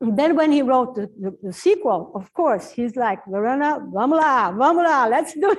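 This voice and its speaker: In a Portuguese accent, a woman speaks at a moderate pace, high in pitch with very wide pitch swings. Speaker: professor and translator. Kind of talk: Q&A talk at book launch. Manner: halting, with fillers and restarts.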